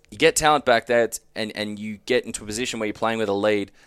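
On a very clean recording with a silent background, a man with an Australian accent talks at a very fast pace in a fairly low pitch. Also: dry, close sound with no echo. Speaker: sports podcast host. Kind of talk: casual chat.

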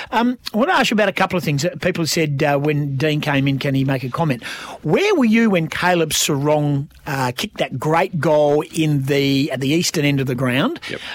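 Fairly high-pitched man with an Australian accent, ordinary pitch variation, and hardly any pauses, over noticeable background noise. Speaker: radio host. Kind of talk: radio DJ patter, bantering and teasing the producer, plugging the show and the text line. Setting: radio studio. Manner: upbeat, jokey, quick-talking with cheerful banter.

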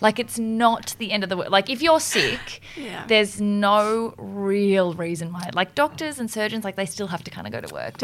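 Speaking with an Australian accent, a woman at a medium pitch uses ordinary pitch variation and big swings in loudness. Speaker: podcast host. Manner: fast talker.

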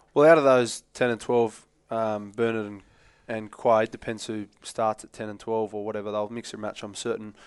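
A man with an Australian accent talks at a fairly quick pace, his medium-pitched voice held to fairly even intonation. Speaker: former rugby player, pundit. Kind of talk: casual chat.

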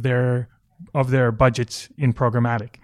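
In a Canadian accent, a man speaks at a moderate pace with a medium pitch and monotone, flat intonation. The recording is very clean, with a silent background and a dry, close sound with no echo. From Vancouver, Canada. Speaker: advertising executive and former soccer player. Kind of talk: interview. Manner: hesitant, many fillers.

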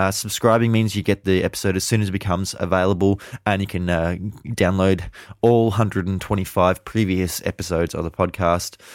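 Very deep and low, a man's voice runs at a fairly quick pace in a flat monotone. The recording is very clean with a silent background. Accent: Australian. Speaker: wine podcast host. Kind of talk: interview. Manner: many fillers, hesitant.

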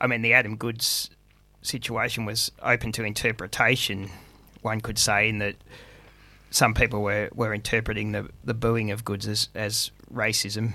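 At a moderate pace, a man with a fairly low pitch and a bright, sharp tone speaks in monotone, flat intonation. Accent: Australian. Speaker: sports podcast co-host. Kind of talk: casual sports panel chat.

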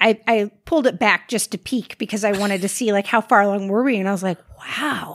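Recorded very cleanly against a silent background, with a dry, close sound and no echo, a woman talks at a moderate pace in an ordinary speaking voice of medium pitch. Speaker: podcast host. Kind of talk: casual chat.

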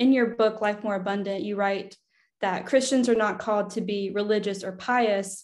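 In a normal speaking voice, a woman talks at a moderate pace, her medium pitch held to a fairly even intonation. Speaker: podcast host. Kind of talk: interview. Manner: warm.

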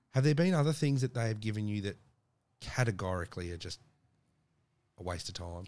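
With an Australian accent, a man with a fairly low pitch speaks very fast with lively intonation and long, frequent pauses, on a very clean recording with a silent background. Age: 30s. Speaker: podcast host. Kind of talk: casual interview.

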